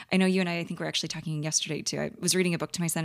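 A woman with a fairly low pitch speaks in a Midwestern American accent. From St. Louis, Missouri, US. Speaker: dietitian. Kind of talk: casual interview. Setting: conference.

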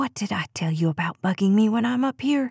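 Putting on a hissing character voice, a woman speaks at a fairly quick pace in a fairly high pitch with lively intonation. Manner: hissing, annoyed; hushed.

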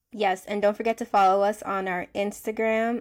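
An American-accented woman at a medium pitch, with a plain, everyday voice and fairly even intonation, on a very clean recording with a silent background. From United States. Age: 20s. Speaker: teacher and podcast co-host. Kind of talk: casual chat.

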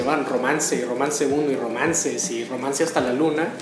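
Noticeable background noise and audible room echo surround a man whose voice is fairly high-pitched. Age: 30s. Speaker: music enthusiast guest. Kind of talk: radio interview. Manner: halting.

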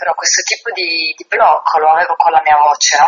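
A woman is speaking. Her pace is fairly quick. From Sardinia. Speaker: singer-songwriter. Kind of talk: interview. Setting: radio interview.

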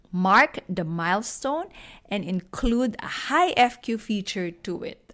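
A woman with a Filipino accent and very wide pitch swings, on a very clean recording with a silent background. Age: 50s. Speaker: podcast host, personal finance educator. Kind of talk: solo podcast talk, Taglish.

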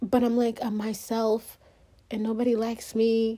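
A dark, mellow tone with an African accent. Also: woman. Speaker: solo podcaster. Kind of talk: personal monologue. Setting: recorded on phone, no microphone. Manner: rambling; halting.

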